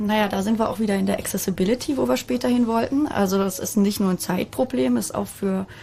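Very fast and medium in pitch, a woman's voice runs through the clip. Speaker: usability expert. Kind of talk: casual chat.

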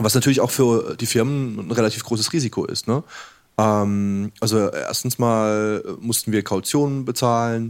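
In a very clean recording with a silent background, a man with an unremarkable speaking voice talks at a moderate pace and medium pitch, keeping his intonation fairly even. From southern Germany. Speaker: game developer. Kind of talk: casual chat. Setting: live radio studio with audience.

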